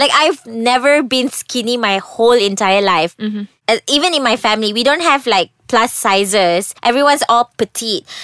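Loud and with a Malaysian accent, a woman talks in a bright, sharp tone with hardly any pauses. Her pitch is fairly high and her intonation lively. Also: moderate pace. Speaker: podcast host. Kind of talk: casual chat.

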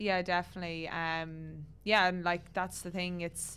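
A woman with an Irish accent speaks at a fairly low pitch in a monotone, flat intonation. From Ireland. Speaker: professional footballer. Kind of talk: casual interview.

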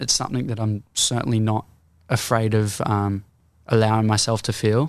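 With an Australian accent, a man speaks at a medium pitch in a monotone, flat intonation. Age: 18. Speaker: singer-songwriter. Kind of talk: casual interview.

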